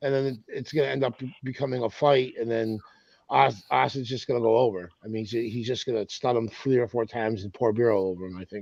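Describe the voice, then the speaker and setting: In a normal speaking voice, a man talks at a fairly quick pace at a medium pitch with ordinary pitch variation. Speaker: wrestling podcast panelist. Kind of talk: casual chat.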